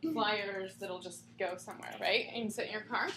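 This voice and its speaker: With audible room echo and noticeable background noise around her, a woman speaks at a fairly quick pace. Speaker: spiritual counselor teaching a class. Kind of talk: class lecture to small group. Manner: loud; casual, many fillers.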